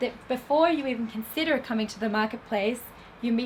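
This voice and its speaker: Speaking at a fairly quick pace with an Australian accent, a woman uses a fairly high pitch and ordinary pitch variation against noticeable background noise. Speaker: film festival industry program manager. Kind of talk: lecture. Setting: stage with audience.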